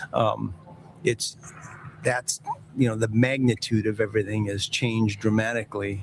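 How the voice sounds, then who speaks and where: With noticeable background noise, a man speaks at a moderate pace and fairly even intonation. He leaves long, frequent pauses. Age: 60s. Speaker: football executive. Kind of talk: interview. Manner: halting.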